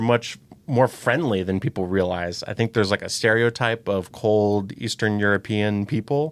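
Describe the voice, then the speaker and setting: An unremarkable speaking voice from a man with an American accent, medium in pitch, at a moderate pace. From US Midwest, Saint Louis. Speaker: volunteer driver. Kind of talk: podcast interview.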